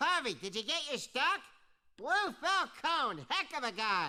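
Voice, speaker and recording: A put-on character voice pitched high leaps through very wide pitch swings. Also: moderate pace. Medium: video game.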